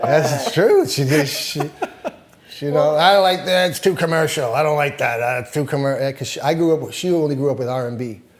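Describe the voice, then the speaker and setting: Through noticeable background noise, a man talks at a fairly quick pace with a fairly high pitch and ordinary pitch variation. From Toronto. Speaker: reggae artist. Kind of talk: casual interview talk. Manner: storytelling, casual.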